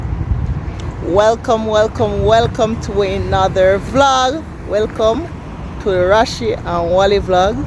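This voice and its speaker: Over noticeable background noise, someone talks at a very slow pace with a Jamaican accent. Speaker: vlogger. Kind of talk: casual vlog chat. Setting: shopping mall.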